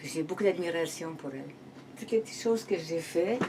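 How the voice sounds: A woman's fairly low voice, dark and mellow in tone, with ordinary pitch variation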